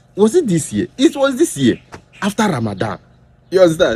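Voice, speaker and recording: A man with a Nigerian accent talks at a fairly quick pace. His dark, mellow voice swings very widely in pitch. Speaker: political commentator. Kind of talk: political commentary video. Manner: animated.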